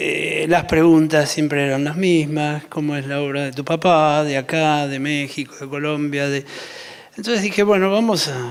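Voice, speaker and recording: A man's fairly high voice, a normal speaking voice, rises and falls with ordinary pitch variation. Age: 60s. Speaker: architect. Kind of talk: panel talk.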